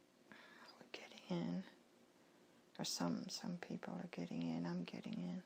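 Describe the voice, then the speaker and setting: A woman whispers fairly slowly, pausing often and at length. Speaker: hypnosis session client. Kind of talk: hypnosis session answers. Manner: whispered.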